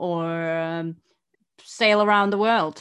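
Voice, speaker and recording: An ordinary speaking voice from a woman, medium in pitch with ordinary pitch variation, over a quiet background. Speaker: podcast host. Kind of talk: casual chat. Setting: studio microphone.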